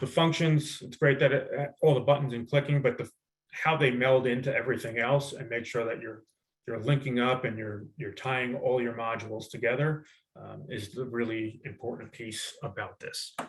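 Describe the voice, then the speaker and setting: Somewhat breathy, a man talks at a moderate pace and medium pitch. His intonation is fairly even, though his loudness swings widely. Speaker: retail planning executive. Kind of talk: webinar product demo. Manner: halting, self-described stuttering; casual, conversational.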